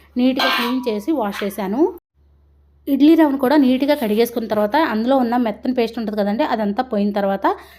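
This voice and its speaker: A woman talks in a high voice with ordinary pitch variation against noticeable background noise. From Andhra Pradesh. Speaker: homemaker vlogger. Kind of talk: vlog voice-over.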